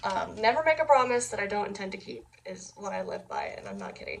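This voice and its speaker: A woman races through her words at a very fast pace amid noticeable background noise. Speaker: YouTuber. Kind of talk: casual vlog talk. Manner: rambling, hesitant with many fillers; stuttering at times.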